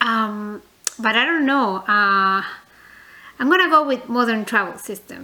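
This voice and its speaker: The speaker, with a non-native accent, leaves long, frequent pauses. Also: woman, fairly high pitch for a woman, lively intonation. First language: not English. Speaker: reborn doll collector vlogger. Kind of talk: casual vlog, tag video. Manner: hesitant, many fillers; chatty, talkative.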